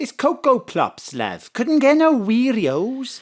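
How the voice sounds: A man's put-on character voice, extremely high-pitched and slow, with very wide pitch swings.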